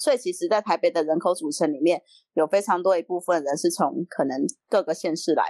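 Speaking at a very fast pace, a woman has a fairly low voice with ordinary pitch variation. The sound is dry and close, with no echo. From Taiwan, Yunlin County. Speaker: city council candidate. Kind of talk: interview.

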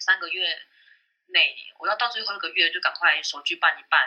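A woman talks at a moderate speed, her loudness rising and falling sharply. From Taiwan, Taipei. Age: 30s. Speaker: former call center specialist. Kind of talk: casual interview chat.

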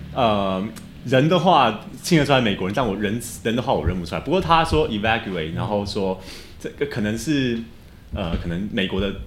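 A fairly low-pitched man with lively intonation at a moderate pace, amid audible room echo. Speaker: university student. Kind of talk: casual quiz show chat.

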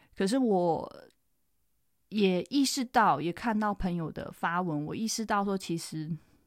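An unremarkable speaking voice from a woman talking at a fairly slow pace with ordinary pitch variation. The recording is very clean, with a silent background. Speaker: podcast host and veterinarian. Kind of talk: solo podcast monologue. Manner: casual, with frequent fillers.

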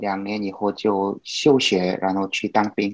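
A man with a Korean accent at a very slow pace, over a quiet background. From South Korea. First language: Korean (speaking Chinese). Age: 30s. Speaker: guest, Korean language learner and traveler. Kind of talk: casual chat. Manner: halting, many fillers.

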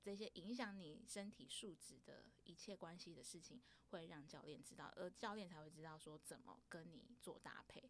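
A woman's fairly low voice with lively intonation and vocal fry, at a moderate pace with hardly any pauses. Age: 30s. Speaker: podcast host. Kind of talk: casual chat.

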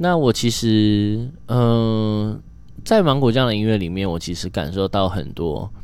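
A man's fairly low voice at a fairly slow pace, lively in intonation, with audible room echo. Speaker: podcast host. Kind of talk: casual solo monologue.

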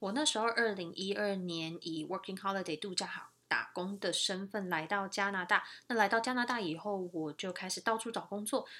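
Bright and sharp in tone, a woman talks at a moderate pace and medium pitch with ordinary pitch variation. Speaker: podcast host, nurse. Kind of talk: casual monologue.

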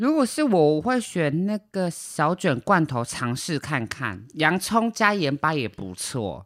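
Speaking at a very slow pace with hardly any pauses, this voice comes through on a very clean recording against a silent background. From Taiwan. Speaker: podcast co-host. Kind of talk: casual chat. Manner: animated, laughs a lot.

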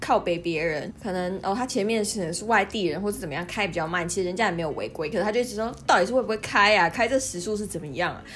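In a southern Taiwanese accent, a woman rushes along at a very fast pace with hardly any pauses, her medium pitch showing ordinary variation. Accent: southern Taiwanese Mandarin. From southern Taiwan, near Kenting (Pingtung). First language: Taiwanese Hokkien (speaking Chinese). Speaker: podcast co-host. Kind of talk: casual chat. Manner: animated.

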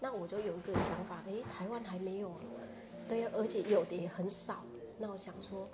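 Amid noticeable background noise and audible room echo, a woman with a Vietnamese accent speaks at a medium pitch with ordinary pitch variation. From Vietnam, Phu Tho province near Hanoi. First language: Vietnamese (speaking Chinese). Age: 40s. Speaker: shop founder and association chair. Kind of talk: interview.

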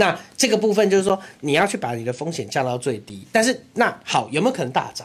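A man's high voice racing at a very fast pace, with very wide pitch swings and hardly any pauses. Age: young. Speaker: city councillor. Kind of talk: casual chat.

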